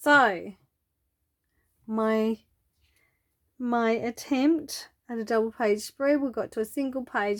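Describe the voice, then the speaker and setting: A woman with a fairly high pitch is speaking. The very clean recording has a silent background and a dry, close sound with no echo. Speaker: papercraft tutorial youtuber. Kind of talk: tutorial. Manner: casual, chatty.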